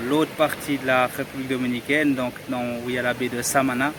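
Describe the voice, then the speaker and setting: A man's monotone, flat intonation over noticeable background noise. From Dominican Republic, Cabarete. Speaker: travel vlogger. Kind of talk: casual vlog talk to camera. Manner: halting, self-correcting.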